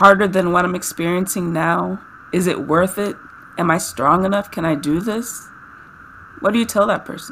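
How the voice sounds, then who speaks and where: A woman speaks at a moderate pace with long, frequent pauses, a medium pitch and ordinary pitch variation, over noticeable background noise. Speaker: podcast host and health coach. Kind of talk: casual interview. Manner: enthusiastic.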